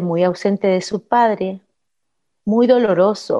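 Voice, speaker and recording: In a dark, mellow tone, a woman speaks at a medium pitch and a fairly slow pace with fairly even intonation. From Guatemala. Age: 40s. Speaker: radio host. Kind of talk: personal testimony.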